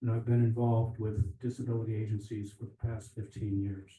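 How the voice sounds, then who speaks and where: The voice is somewhat breathy and moves at a fairly quick pace. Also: man. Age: old. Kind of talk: public comment speech. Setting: town hall meeting with audience.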